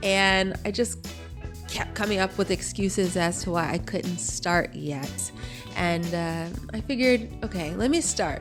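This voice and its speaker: Moderate pace over music in the background. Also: woman. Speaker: podcast host. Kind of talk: podcast intro.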